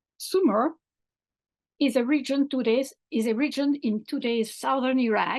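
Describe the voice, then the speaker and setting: The speech moves at a moderate pace, with ordinary pitch variation and very even loudness. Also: woman, high pitch for a woman. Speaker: professor. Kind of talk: academic lecture.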